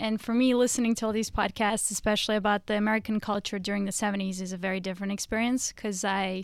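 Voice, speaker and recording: On a very clean recording with a silent background, a woman with a Russian accent speaks very fast at a fairly high pitch. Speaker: comedian. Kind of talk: casual chat.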